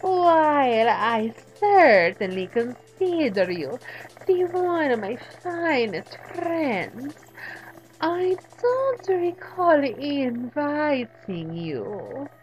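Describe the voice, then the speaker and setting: A woman's put-on character voice, high and very slow, with very wide pitch swings. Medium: solo performance. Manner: purring, arch, theatrical.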